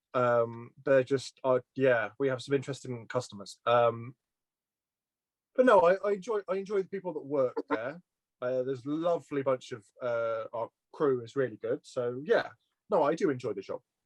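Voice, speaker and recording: A man with a slight Welsh accent, lively intonation and a moderate pace, in a dry, close sound with no echo. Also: medium pitch for a man. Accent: slight Welsh twang. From Shropshire, England (Shrewsbury). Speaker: petrol station worker. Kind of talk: casual interview. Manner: halting, with fillers and repeats.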